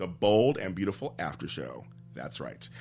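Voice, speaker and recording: There is vocal fry in this man's voice. His pitch shows ordinary variation. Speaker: interviewer host. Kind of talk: casual interview.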